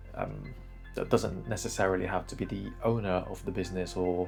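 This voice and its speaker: Music plays in the background. A man does the talking. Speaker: YouTuber. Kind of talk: casual talk to camera. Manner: hesitant, many fillers.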